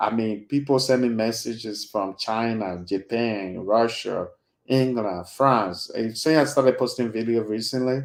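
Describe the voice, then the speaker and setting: Speaking fairly slowly, a man with a Liberian accent uses a medium pitch. His intonation is fairly even. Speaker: YouTube host and interviewer. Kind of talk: casual chat to viewers.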